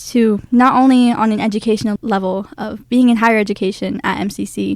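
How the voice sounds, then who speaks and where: This woman has an unremarkable speaking voice and an American accent. Her pitch is fairly high, her pace fairly quick, and her pitch variation ordinary. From Fort McDowell Yavapai Nation, central Arizona. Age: young. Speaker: college student and pageant titleholder. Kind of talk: radio interview.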